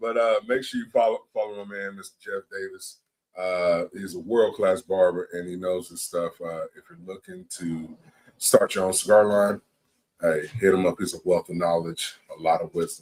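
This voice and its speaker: A man talks at a moderate pace, with big swings in loudness. His voice sounds dry and close, with no echo. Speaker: cigar show host. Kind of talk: casual chat.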